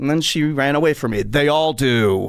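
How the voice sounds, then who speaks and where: Fairly high in pitch, a man speaks with an animated tone and lively intonation. His pace is moderate, and the recording is very clean with a silent background. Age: 60s. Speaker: comedy podcast host. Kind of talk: comedic storytelling.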